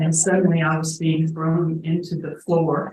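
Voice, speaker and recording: Somewhat breathy, a woman speaks with a fairly low pitch. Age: 70s. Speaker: crime victim witness. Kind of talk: testimony. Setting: courtroom.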